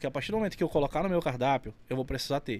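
A man's lively intonation comes through a very clean recording with a silent background. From Amazonas, Brazil (Carauari). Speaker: burger restaurant owner. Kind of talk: casual chat. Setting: studio.

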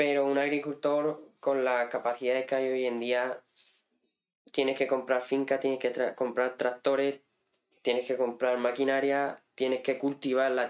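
Monotone, flat intonation at a moderate pace. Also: man. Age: 20s. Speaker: farmer and hunter. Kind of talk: casual interview. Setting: in-person studio.

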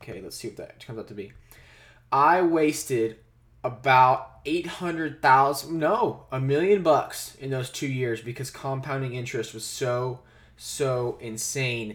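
A somewhat breathy man speaks at a fairly slow pace, with big swings in loudness. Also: medium pitch for a man, ordinary pitch variation. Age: 20s. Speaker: podcast host talking about investing. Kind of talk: solo monologue about investing. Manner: casual, with many fillers and restarts.

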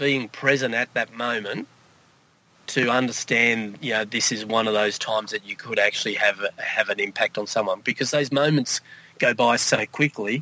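Noticeable background noise runs under a dry, close sound with no echo. A man of medium pitch speaks at a moderate pace. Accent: Australian. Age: 50s. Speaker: coach. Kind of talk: testimony. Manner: halting.

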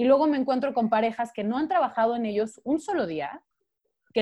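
This woman has an ordinary speaking voice at a fairly high pitch. She talks at a fairly quick pace with lively intonation. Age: 20s. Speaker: podcast guest. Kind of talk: casual chat.

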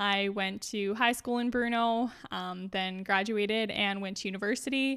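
In a very clean recording with a silent background, a woman with a Canadian Prairies accent talks at a moderate pace with hardly any pauses, medium pitch and fairly even intonation. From rural Saskatchewan, Canada. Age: 20s. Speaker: junior interior designer. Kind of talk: casual interview.

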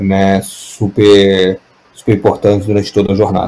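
Here a man speaks with a fairly low pitch and a dark, mellow tone. His pace is fairly slow. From Brazil, Minas Gerais (Juiz de Fora). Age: 30s. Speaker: tech startup founder. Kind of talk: radio interview.

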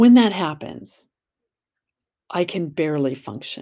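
A woman's dark, mellow tone in a very clean recording with a silent background. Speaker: podcast host, self-help blogger. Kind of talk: casual monologue. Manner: conversational.

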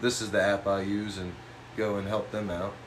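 A man speaks at a moderate pace with fairly low pitch. Noticeable background noise runs beneath him. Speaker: graphic designer and cartoonist. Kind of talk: casual chat. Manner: casual, profane.

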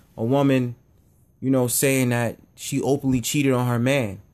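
A man's medium-pitched voice, with fairly even intonation, comes through on a very clean recording with a silent background. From New York, Harlem. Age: 20s. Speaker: podcast host. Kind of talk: solo monologue. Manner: casual, filler-heavy.

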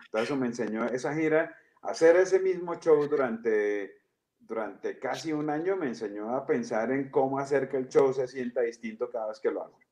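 With lively intonation, a man talks at a moderate pace and medium pitch in an ordinary speaking voice. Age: 40s. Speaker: comedian and storyteller. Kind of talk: casual chat.

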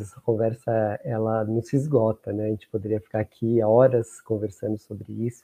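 A plain, everyday voice moves along at a fairly slow pace. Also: man. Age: 60s. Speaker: diversity program coordinator. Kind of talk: panel discussion.

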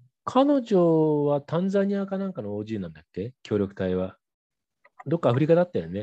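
A man's voice with very wide pitch swings, in a dry, close sound without echo. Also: fairly high pitch for a man, moderate pace. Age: 50s. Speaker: radio host, rural private school head. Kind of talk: interview. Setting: remote call with guest in Myanmar. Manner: frequent fillers, hesitant.

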